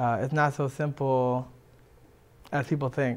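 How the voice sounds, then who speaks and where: The speaker has an American accent. The pace is moderate. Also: man. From Washington DC. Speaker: musician; guest. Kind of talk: interview. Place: studio. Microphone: lapel.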